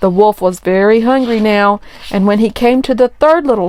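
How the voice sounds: The pitch varies in an ordinary way across this natural reading voice.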